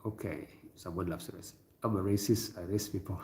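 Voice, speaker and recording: Somewhat breathy, a man speaks at a moderate pace with an Indonesian accent. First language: not English. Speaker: livestreamer. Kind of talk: casual live-stream talk reading chat. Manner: hesitant, many fillers.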